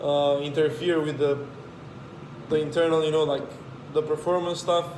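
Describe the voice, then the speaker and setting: A man speaks at a moderate pace in a fairly high, monotone voice with flat intonation and very even loudness. Noticeable background noise and audible room echo fill the recording. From Romania. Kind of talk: casual chat.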